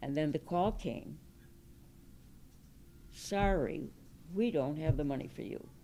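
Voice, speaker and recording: In a dark, mellow tone with vocal fry, the speaker talks at a fairly slow pace with lively intonation and long, frequent pauses. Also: woman, very deep, low pitch for a woman. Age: 70s. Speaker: public health policy pioneer and nurse. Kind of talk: event talk recounting personal history.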